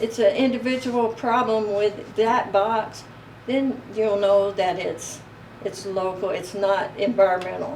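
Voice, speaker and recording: Fairly slow, fairly even speech from a woman of medium pitch with an American accent, with audible room echo and noticeable background noise. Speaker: beekeeper. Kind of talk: interview. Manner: halting.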